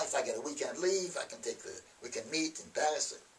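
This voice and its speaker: Fairly quick speech from a man, set against noticeable background noise. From France. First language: French. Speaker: army veteran. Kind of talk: storytelling interview. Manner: halting; animated.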